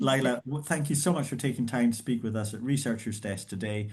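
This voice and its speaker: Somewhat breathy, a man talks at a fairly quick pace with a Scottish accent. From Scotland. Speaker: professor and event host. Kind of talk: host introduction. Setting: video call.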